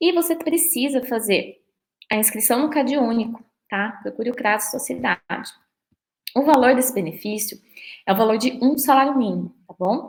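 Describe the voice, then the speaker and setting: The speaker pauses long and often, with ordinary pitch variation and big swings in loudness. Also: woman, high pitch for a woman. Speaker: lawyer. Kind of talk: lecture. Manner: fast.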